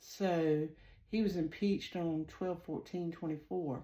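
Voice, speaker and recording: A woman with a strong Southern US accent talks at a very slow pace, her fairly low pitch showing ordinary pitch variation. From US South. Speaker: psychic tarot reader and channel host. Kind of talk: casual monologue to viewers. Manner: hesitant, many fillers.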